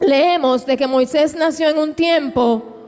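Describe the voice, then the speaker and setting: Against noticeable background noise, a woman with a high pitch speaks at a fairly slow pace with fairly even intonation. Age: 30s. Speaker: preacher. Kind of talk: sermon.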